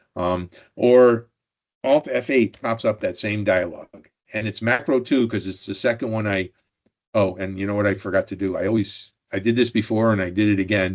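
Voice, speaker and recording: In an unremarkable speaking voice, a man talks with a fairly low pitch and fairly even intonation. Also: moderate pace. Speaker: Excel expert presenter. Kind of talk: technical tutorial presentation.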